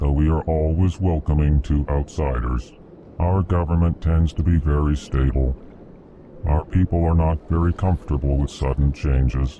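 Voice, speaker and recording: Over clear background noise, a man uses a put-on character voice that is very deep and low, moving at a moderate pace. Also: fairly even intonation, very even loudness. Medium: video game. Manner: prefixes sentences with a stated emotion.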